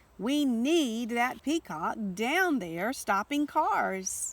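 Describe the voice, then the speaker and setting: A put-on character voice moves at a very slow pace through very wide pitch swings. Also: woman, high pitch for a woman. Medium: read story.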